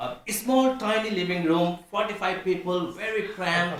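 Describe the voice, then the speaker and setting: A man with a Nepali accent speaks at a moderate pace in a high pitch, with lively intonation. Audible room echo and noticeable background noise surround his voice. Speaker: pastor. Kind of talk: testimony. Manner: halting.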